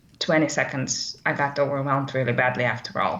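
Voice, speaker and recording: With a non-native accent, a woman talks at a moderate pace. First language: not English. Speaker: course participant. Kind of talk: live webcast discussion. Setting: live webcast. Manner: halting, many fillers.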